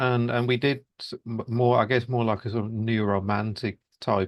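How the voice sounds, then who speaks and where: With a Birmingham accent, a man speaks with fairly even intonation. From Birmingham, England. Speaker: musician. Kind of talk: interview. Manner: halting, many fillers.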